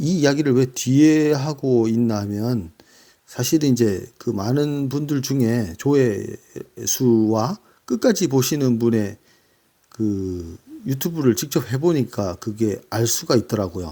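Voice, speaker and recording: In a dark, mellow tone, a man speaks at a very slow pace with lively intonation. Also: medium pitch for a man. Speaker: book reviewer. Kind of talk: casual talk. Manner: halting with fillers.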